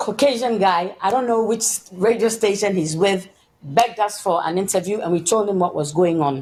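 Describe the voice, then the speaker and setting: A woman speaks with a normal speaking voice at medium pitch. Her pace is moderate and her pitch variation ordinary. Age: 60s. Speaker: political and social activist. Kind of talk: interview testimony.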